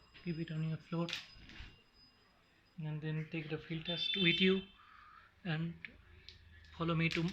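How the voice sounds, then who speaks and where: A man with a high voice speaks in a flat monotone at a fairly slow pace, leaving long, frequent pauses over noticeable background noise. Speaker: DIY video maker. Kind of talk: tutorial. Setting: at home, filming on phone. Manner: halting.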